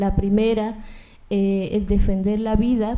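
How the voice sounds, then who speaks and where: A woman's fairly high, dark, mellow voice at a fairly slow pace with monotone, flat intonation. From Colombia. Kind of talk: panel talk.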